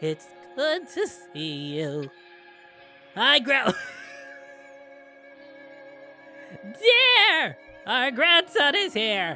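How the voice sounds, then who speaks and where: Doing a put-on character voice, a man speaks at a very slow pace in a shrill, extremely high pitch while music plays clearly in the background. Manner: loud, yelling.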